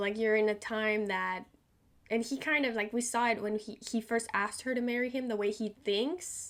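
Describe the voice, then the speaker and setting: This woman's voice has a fairly high pitch. She talks at a moderate pace. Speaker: TV reaction youtuber. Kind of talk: casual reaction commentary. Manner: animated.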